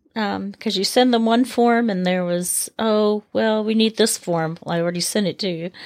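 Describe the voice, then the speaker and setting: Speaking in a normal speaking voice with an American accent, a woman talks at a moderate pace with medium pitch and ordinary pitch variation, the sound dry and close with no echo and the recording very clean against a silent background. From United States. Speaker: host's wife. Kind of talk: casual chat.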